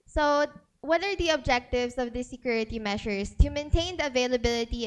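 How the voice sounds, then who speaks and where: There is music in the background. Over it, a woman speaks at a fairly quick pace with a fairly high pitch and ordinary pitch variation. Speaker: data privacy speaker. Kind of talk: seminar talk.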